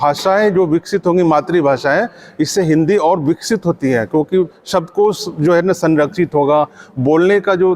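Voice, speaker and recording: A voice with a Bihar accent, normal pitch movement, and a dry, close sound that carries no echo. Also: man. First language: Angika (speaking Hindi). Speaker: writer and language activist. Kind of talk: conference speech. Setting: conference. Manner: hesitant fillers, argumentative.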